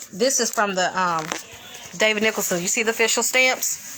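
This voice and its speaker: Music plays in the background as a woman speaks at a moderate pace, her fairly high voice showing ordinary pitch variation. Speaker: activist. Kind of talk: casual livestream explanation.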